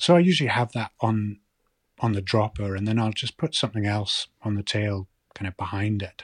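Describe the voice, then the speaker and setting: A man with a Shetland accent speaks in a fairly low, somewhat breathy voice with ordinary pitch variation. The recording is very clean, with a silent background and a dry, close sound with no echo. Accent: Shetland Scottish. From Scotland, Shetland (Lerwick). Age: 40s. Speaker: author and fly fisher. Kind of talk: interview. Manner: halting, repeats words.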